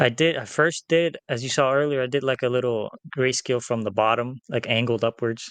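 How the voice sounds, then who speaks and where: Heard with a dry, close sound and no echo, a man of medium pitch speaks at a fairly quick pace with fairly even intonation. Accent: non-native. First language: not English. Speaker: comic book artist. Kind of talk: casual chat. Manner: halting.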